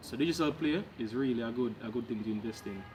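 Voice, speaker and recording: With noticeable background noise behind him, a man talks at a very fast pace and a medium pitch. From Jamaica. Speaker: freelancer vlogger. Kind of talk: casual vlog talk to camera. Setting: outdoors in back yard.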